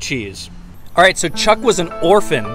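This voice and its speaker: A man's voice in a dry sound with no echo, with clear music in the background. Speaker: pop culture vlogger. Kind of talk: casual vlog chat.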